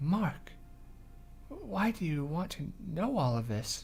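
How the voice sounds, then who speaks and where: A somewhat breathy man's voice at a very slow pace, with very wide pitch swings. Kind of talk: visual novel read-aloud.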